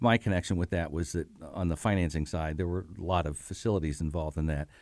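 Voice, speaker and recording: On a very clean recording with a silent background, a man with an American accent and a very deep, low pitch talks fairly quickly with ordinary pitch variation. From Bloomington, Indiana, US Midwest. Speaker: retired university auditor. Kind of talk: interview. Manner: hesitant, many fillers.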